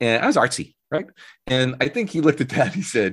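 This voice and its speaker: The very clean recording, with a silent background, captures a man of fairly high pitch talking at a fairly quick pace with vocal fry and very wide pitch swings. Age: 40s. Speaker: music company founder and musician. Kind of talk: interview conversation.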